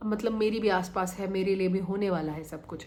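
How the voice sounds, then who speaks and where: Somewhat breathy, this woman's voice proceeds at a moderate pace. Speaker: manifestation coach. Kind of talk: motivational talk. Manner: conversational.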